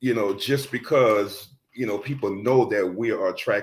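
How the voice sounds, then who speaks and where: At a moderate pace and medium pitch, a man with an American accent speaks in an unremarkable speaking voice with ordinary pitch variation. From US South, New Orleans, Louisiana. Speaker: reverend. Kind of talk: personal testimony in panel talk.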